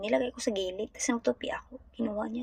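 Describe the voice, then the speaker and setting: A woman talks at a fairly quick pace with a medium pitch. Her voice is somewhat breathy. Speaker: domestic helper vlogger. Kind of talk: casual vlog monologue. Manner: halting.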